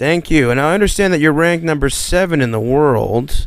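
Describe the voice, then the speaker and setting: A man speaks at a fairly high pitch and a moderate pace. He has an ordinary speaking voice. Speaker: radio interviewer. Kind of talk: radio interview questions.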